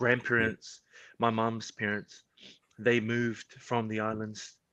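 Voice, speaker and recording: A bright, sharp tone at a fairly slow pace, with monotone, flat intonation. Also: man, medium pitch for a man. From New Zealand, Porirua near Wellington. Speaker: professional rugby player. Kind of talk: podcast interview. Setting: live-streamed podcast. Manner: casual, relaxed.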